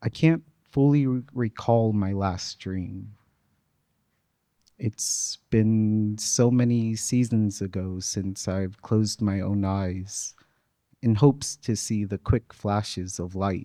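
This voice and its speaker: Soft-spoken, a man with a fairly low pitch and dark, mellow tone talks at a very slow pace with fairly even intonation in a dry, close sound with no echo. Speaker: featured poet. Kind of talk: poetry reading.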